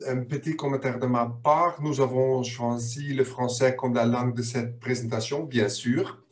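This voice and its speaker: With a non-native accent, a man speaks at a medium pitch in a monotone, flat intonation, at a very slow pace with hardly any pauses. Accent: foreign accent in French. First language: not French (speaking French). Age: 50s. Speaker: business board expert. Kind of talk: webinar presentation.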